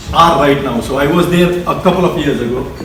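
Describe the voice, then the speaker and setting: A speaker with an Indian accent and ordinary pitch variation. Noticeable background noise and audible room echo surround the voice. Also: man. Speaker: engineer. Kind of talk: speech.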